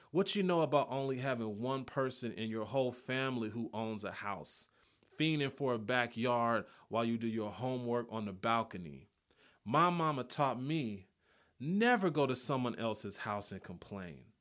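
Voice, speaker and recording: In an American accent, a man with an unremarkable speaking voice talks at medium pitch and a moderate pace with lively intonation. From South Los Angeles. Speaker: poet and creative writing professor. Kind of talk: poetry performance; interview.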